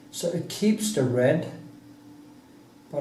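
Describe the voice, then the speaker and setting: A man with a non-native accent, talking at a very slow pace amid audible room echo. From Norway. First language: Norwegian. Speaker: painter. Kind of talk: casual monologue; painting tutorial. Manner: halting.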